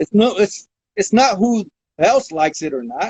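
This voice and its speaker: In an American accent, a man talks with lively intonation. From Modesto, California. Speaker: lowriding veteran. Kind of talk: interview answer. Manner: casual.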